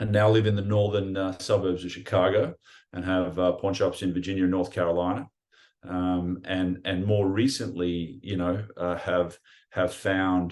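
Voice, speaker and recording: Speaking in an Australian accent, a man with a very deep, low pitch keeps a moderate pace and fairly even intonation. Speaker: pawn shop owner and breathwork teacher. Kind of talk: casual interview. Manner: hesitant with fillers and repetitions.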